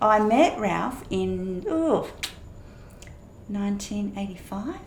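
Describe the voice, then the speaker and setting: In an Australian accent, a woman of medium pitch speaks at a very slow pace with lively intonation and audible room echo. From Perth, Western Australia. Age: 60s. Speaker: pastor and former champion dancer. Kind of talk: interview about life story.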